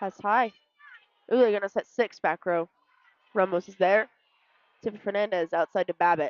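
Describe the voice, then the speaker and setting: A woman at a medium pitch speaks with fairly even intonation, her loudness swinging widely, and she leaves long, frequent pauses. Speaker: sports color commentator. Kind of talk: live commentary. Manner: fast.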